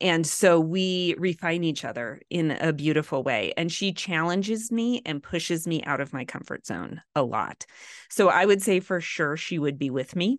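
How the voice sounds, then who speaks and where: With a plain, everyday voice, a woman talks at a moderate pace in a fairly low pitch and lively intonation against a quiet background. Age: 40s. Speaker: author and ministry cofounder. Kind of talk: interview.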